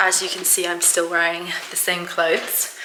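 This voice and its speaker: A woman speaks over noticeable background noise. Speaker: fitness vlogger. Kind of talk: casual vlog talk to camera.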